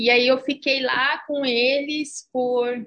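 A woman's high voice carries fairly even intonation. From Brazil, São Paulo city. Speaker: Brazilian immigrant. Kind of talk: interview.

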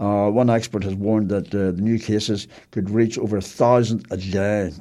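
A man with a Belfast accent, a fairly low pitch and a dark, mellow tone, on a very clean recording with a silent background. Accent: Belfast Northern Irish. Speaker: community radio host. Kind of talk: casual radio talk and news reading. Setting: radio studio. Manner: hesitant, frequent fillers.

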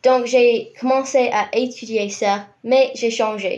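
A woman with an English accent and fairly even intonation. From New Zealand, Rotorua. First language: English (speaking French). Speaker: university student and compost educator. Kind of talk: radio interview. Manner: hesitant.

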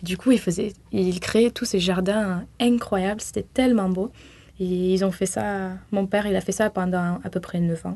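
A woman speaks at a fairly slow pace with a medium pitch and a dark, mellow tone. Her intonation stays fairly even against a quiet background. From southwest France (near Toulouse, Tarn). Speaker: university student. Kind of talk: radio interview.

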